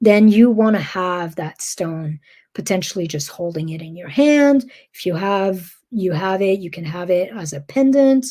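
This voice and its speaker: A woman's medium-pitched, dark, mellow and somewhat breathy voice, lively in intonation, at a moderate pace on a very clean recording with a silent background. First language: not English. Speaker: spiritual wellness coach. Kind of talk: guided teaching monologue. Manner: calm, gentle; hesitant, with fillers.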